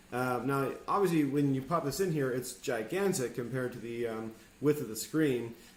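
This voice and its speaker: Audible room echo surrounds a man speaking at a fairly quick pace. His pitch is medium, with ordinary variation. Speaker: video editing teacher. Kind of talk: tutorial. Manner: fast; hesitant, many fillers.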